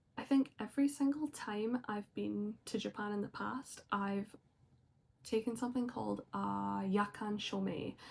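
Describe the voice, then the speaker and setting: A woman with a Scottish accent, at a fairly slow pace. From Scotland. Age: 20s. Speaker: vlogger. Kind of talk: personal vlog talk. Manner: casual with frequent fillers.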